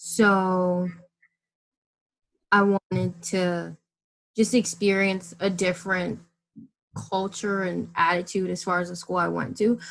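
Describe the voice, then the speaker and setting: Speaking very slowly with long, frequent pauses, a woman with an American accent holds a medium pitch in a monotone, flat intonation. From Maryland, US. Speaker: architecture student. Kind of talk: interview.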